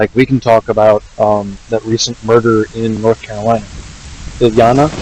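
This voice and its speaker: Soft-spoken and monotone with flat intonation, a man talks at medium pitch and a moderate pace, the sound dry and close with no echo against noticeable background noise. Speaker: gaming streamer. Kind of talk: casual livestream chat.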